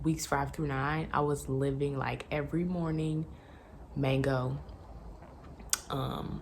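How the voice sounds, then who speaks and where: A woman's quiet, very deep, low voice, very slow and monotone, with long, frequent pauses, noticeable background noise and audible room echo. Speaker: lifestyle vlogger. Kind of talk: pregnancy update vlog. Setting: at home. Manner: quiet, talking low; casual, filler-heavy.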